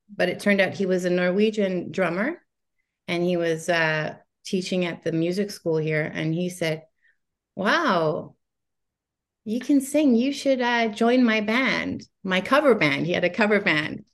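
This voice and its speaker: A woman speaks in a normal speaking voice at a fairly slow pace and medium pitch. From Faroe Islands and Canada. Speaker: singer-songwriter. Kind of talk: interview chat.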